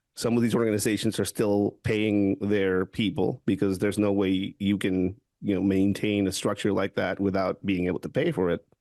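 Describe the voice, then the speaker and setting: A man with a Spanish accent speaks at a moderate pace in a fairly low, dark, mellow voice, with fairly even intonation, very even loudness and hardly any pauses over a quiet background. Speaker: security expert, former police officer. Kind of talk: podcast interview. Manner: halting, many restarts.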